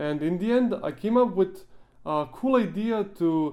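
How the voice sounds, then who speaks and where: Faint music plays in the background as a man with a non-native accent speaks at a fairly slow pace with ordinary pitch variation. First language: not English. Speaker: gaming YouTuber and machinima filmmaker; gaming YouTuber. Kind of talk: behind-the-scenes Q&A talk. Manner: halting with frequent fillers. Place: home room. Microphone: handheld.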